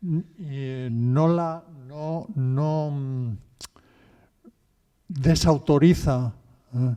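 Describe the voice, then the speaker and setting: A man's dark, mellow voice at a fairly high pitch, very slow pace, long, frequent pauses and big swings in loudness. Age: 60s. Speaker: audience member. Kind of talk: audience question. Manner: halting.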